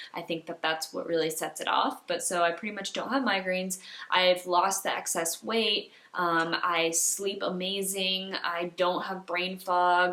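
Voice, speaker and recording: Over noticeable background noise, a woman speaks at a fairly slow pace with a medium pitch and fairly even intonation. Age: 20s. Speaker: holistic health coach. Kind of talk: casual talk to camera.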